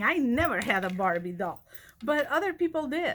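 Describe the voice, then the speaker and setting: In a Spanish accent, a woman speaks at a moderate pace with a bright, sharp tone. Her pitch swings very widely, on a very clean recording with a silent background. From Spain. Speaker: college vice president of instruction. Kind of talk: personal storytelling address.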